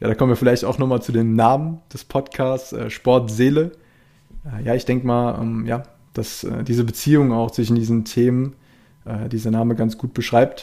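Man's voice with a dark, mellow tone and fairly even intonation, very clean recording over a silent background. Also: medium pitch for a man, moderate pace. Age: 20s. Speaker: sports science student and podcast host. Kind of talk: solo podcast intro monologue. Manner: hesitant, many fillers.

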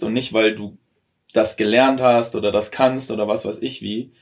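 A man's unremarkable speaking voice, medium in pitch, with ordinary pitch variation and a moderate pace. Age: 20s. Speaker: former coaching client. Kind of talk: casual chat. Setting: in a tiny house.

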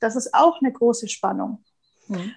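A woman is speaking. Her pace is fairly quick. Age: 30s. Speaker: business and transformation coach. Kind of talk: casual interview. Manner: animated.

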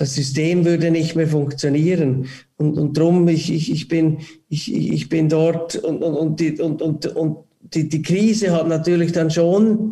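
A man speaks in a high voice at a very slow pace. His tone is dark and mellow. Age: 40s. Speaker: airport ground-handling CEO. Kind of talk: casual interview. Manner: halting, many repetitions.

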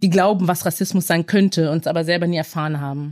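In a normal speaking voice, someone talks at a fairly quick pace with fairly even intonation, on a very clean recording with a silent background and a dry, close sound with no echo. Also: woman. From Germany and Belgium. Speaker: aid organisation staff member. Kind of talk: interview. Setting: office studio.

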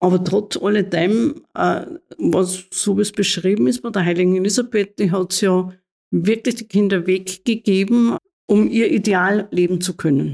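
A woman speaks at a fairly slow pace with ordinary pitch variation. Her voice sits at a medium pitch and has a dark, mellow tone. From Austria, Mühlviertel (Upper Austria). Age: 60s. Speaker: nun and head of a religious order. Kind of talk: interview. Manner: halting.

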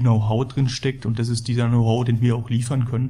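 Somewhat breathy male speech, dark and mellow in tone, flat and monotone, at a fairly quick pace. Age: 30s. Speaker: building materials company employee. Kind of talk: corporate podcast interview.

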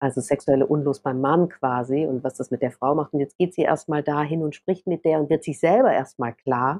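Her pitch is very deep and low, and the woman keeps her intonation fairly even. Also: moderate pace. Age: 40s. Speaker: author. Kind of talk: casual chat. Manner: halting.

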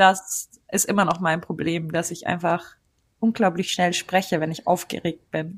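In a very clean recording with a silent background, a woman with a bright, sharp tone speaks at a fairly slow pace. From Germany. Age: 20s. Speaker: freelance journalist. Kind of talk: interview.

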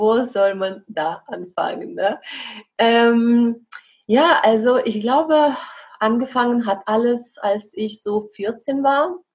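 This woman speaks very slowly with a non-native accent. Her pitch moves with ordinary variation. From Belarus. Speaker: coach and podcaster. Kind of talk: interview.

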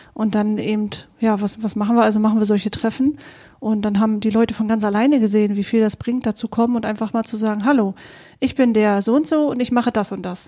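This woman talks at a very fast pace, somewhat breathy, in a fairly high pitch. Her tone is dark and mellow, and her intonation stays fairly even. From Vorpommern, Germany (near Greifswald). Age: 30s. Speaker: podcast co-host, networker. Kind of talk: casual conversation.

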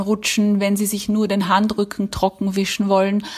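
At a moderate pace, the voice sounds somewhat breathy. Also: woman. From Austria. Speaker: writer. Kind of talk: reading aloud.

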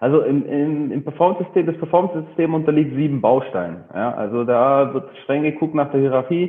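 With an unremarkable speaking voice, a man of fairly high pitch talks at a fairly quick pace, with hardly any pauses and ordinary pitch variation. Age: 30s. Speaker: personal trainer and gym owner. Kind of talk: interview.

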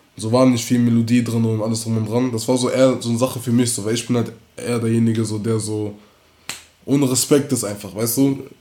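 A man talks very fast in a monotone, flat intonation at a medium pitch. Room echo can be heard. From Bonn, Germany. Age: 18. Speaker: rapper. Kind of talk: casual interview.

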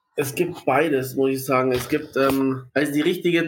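At a moderate speed and a fairly high pitch, a man talks in an ordinary speaking voice with fairly even intonation. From Munich, Bavaria. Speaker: sports marketing and event manager. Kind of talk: casual interview.

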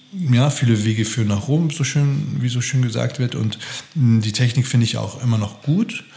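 A man speaks at a moderate pace and medium pitch. Noticeable background noise sits behind him. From Austria. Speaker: actor and acting teacher. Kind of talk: casual interview.

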